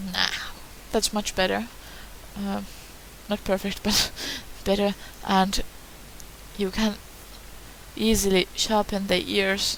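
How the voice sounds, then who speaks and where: A woman with a non-native accent talks at a very slow pace, with long, frequent pauses and flat, monotone intonation. Noticeable background noise runs under her voice. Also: medium pitch for a woman. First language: not English. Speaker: hobbyist tutorial maker. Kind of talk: tutorial. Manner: hesitant, many fillers.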